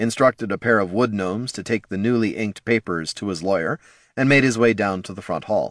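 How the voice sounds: Pitch varies in an ordinary way across the natural reading voice.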